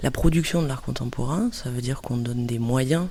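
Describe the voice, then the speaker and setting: At a moderate pace, a woman with a very deep, low pitch sounds somewhat breathy, her tone dark and mellow. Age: 30s. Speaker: cultural mediator. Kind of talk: interview. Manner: hesitant with filler euh.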